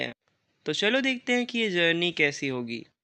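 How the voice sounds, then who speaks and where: A man speaks at a fairly slow pace in a high voice with very wide pitch swings and a bright, sharp tone, against a quiet background. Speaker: gaming youtuber. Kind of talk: gameplay commentary. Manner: casual.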